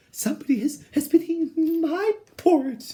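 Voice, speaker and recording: Putting on a squeaky character voice, a woman speaks at a moderate pace with a high pitch and ordinary pitch variation. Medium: read story.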